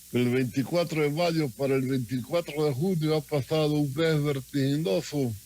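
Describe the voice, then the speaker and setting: A fairly high male voice of dark, mellow tone, with ordinary pitch variation, very even loudness, a moderate pace and hardly any pauses. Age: 80s+. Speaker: former government minister and doctor. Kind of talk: radio interview.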